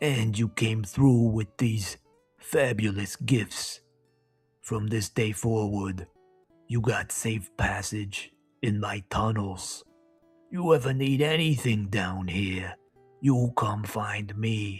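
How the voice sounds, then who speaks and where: Putting on a character voice of medium pitch, a man speaks at a very slow pace with faint music in the background. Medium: read story. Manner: streetwise, swaggering.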